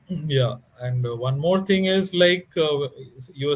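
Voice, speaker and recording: The moderate pace of this man's speech comes with ordinary pitch variation. There is a somewhat breathy quality to it. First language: Bengali. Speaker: author. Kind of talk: interview. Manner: halting.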